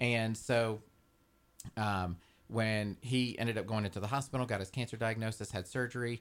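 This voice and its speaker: A man with an American accent uses a normal speaking voice at a medium pitch and a moderate pace. Intonation is fairly even, in a very clean recording with a silent background. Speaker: home care agency representative. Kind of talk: casual radio interview. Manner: jokey.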